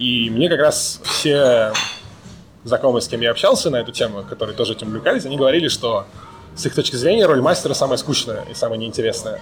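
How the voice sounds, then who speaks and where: There is noticeable background noise. Over it, a man speaks at a very fast pace. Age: 30s. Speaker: data scientist. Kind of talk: casual chat.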